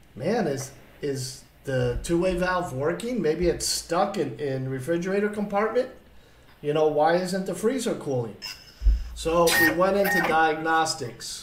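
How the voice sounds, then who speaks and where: A man talking at a fairly slow pace, with light background noise and audible room echo. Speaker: appliance repair instructor. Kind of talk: lecture. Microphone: webcam.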